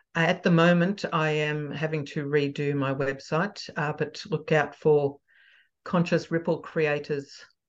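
A woman with an Australian accent speaks at a fairly slow pace in a very deep, low pitch. Her intonation stays fairly even over a quiet background. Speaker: parenting coach. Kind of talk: casual interview chat. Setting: video call.

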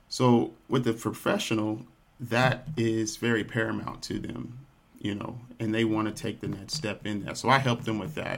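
A man with an American accent and vocal fry, medium in pitch, his intonation fairly even. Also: moderate pace. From Texas, Dallas. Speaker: nutrition practitioner and yoga instructor. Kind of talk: interview.

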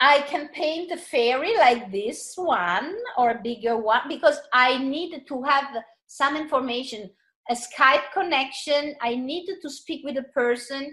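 Speaking fairly slowly with an Italian accent, a woman uses a high, bright, sharp voice with ordinary pitch variation. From Italy, seaside. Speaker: author, artist and channeler. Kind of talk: interview. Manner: halting, repeating words.

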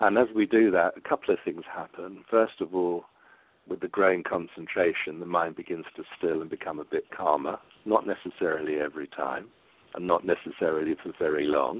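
With an English accent, a man speaks at a fairly quick pace. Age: 60s. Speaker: psychotherapist and meditation teacher. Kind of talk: interview. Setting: phone call.

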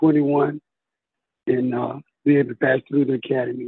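A man with a Southern US accent, fairly high in pitch, at a moderate pace. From US South (Tuscaloosa, Alabama). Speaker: police officer and karate champion. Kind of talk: interview.

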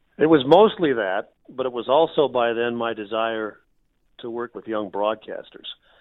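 A man with an American accent and an unremarkable speaking voice talks at medium pitch and a moderate pace, with ordinary pitch variation and big swings in loudness. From Minnesota, US Midwest. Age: 50s. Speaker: radio play-by-play broadcaster. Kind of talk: casual interview.

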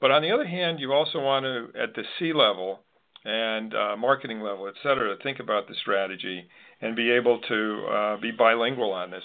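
With an American accent, a man speaks at a moderate pace and medium pitch, with ordinary pitch variation and a plain, everyday voice. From US Northeast, Connecticut. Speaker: podcast host. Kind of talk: interview.

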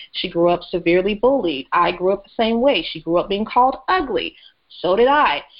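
A fairly quick, lively woman's voice at a medium pitch, with an American accent. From US South. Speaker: burlesque performer. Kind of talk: interview.

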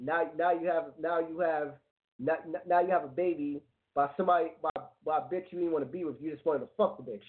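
An ordinary speaking voice, a man's at a fairly high pitch, with fairly even intonation and a fairly quick pace. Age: 30s. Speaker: internet radio co-host. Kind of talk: casual chat.

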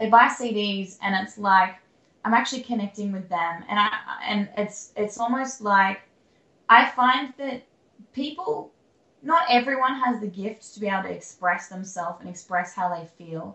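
Speaking at a moderate pace with an Australian accent, a woman of medium pitch shows ordinary pitch variation and big swings in loudness. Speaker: country singer-songwriter. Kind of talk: interview. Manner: halting.

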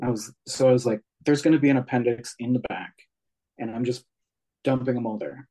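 Pausing long and often, a man with a dark, mellow tone speaks at a fairly quick pace with fairly even intonation. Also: medium pitch for a man. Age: 40s. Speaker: author and witch. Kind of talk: interview.

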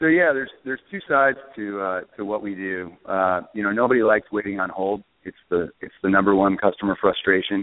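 A man with a normal speaking voice talks at a fairly quick pace with hardly any pauses. His pitch is fairly low with ordinary pitch variation. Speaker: startup co-founder. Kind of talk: interview. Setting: speakerphone call.

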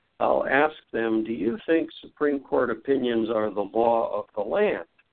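The speaker is a man using an ordinary speaking voice at medium pitch. He talks at a fairly slow pace. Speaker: author on the Constitution. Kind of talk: interview.

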